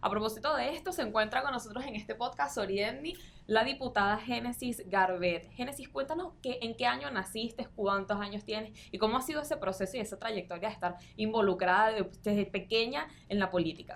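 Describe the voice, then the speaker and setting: A woman with an ordinary speaking voice, fairly high in pitch, with lively intonation at a fairly quick pace. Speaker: podcast host. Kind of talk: interview. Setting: studio.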